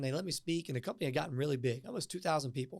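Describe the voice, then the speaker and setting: A man with a Southern accent, energetic in tone and lively in intonation, on a very clean recording with a silent background. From US South, Martinsville, Virginia. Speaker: tech startup co-founder and public speaker. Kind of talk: podcast interview. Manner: fast.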